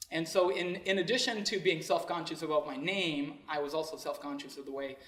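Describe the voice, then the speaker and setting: A man's fairly quick speech amid noticeable background noise and audible room echo. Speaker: motivational speaker. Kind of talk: speech to an audience.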